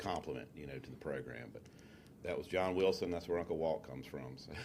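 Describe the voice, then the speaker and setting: A man with a very deep, low pitch speaks at a very fast pace, showing vocal fry. His pitch varies in an ordinary way while his loudness swings sharply. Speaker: business coach. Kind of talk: interview.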